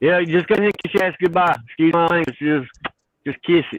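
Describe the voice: This man has a Southern US accent and a fairly high pitch. He speaks at a fairly quick pace with ordinary pitch variation.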